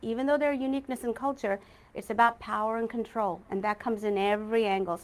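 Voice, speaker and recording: At a very fast pace, a woman speaks with fairly high pitch and ordinary pitch variation. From Texas, US (immigrated from India as a child). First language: Malayalam. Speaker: judicial candidate, prosecutor. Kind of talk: candidate forum answers. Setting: political forum, livestreamed.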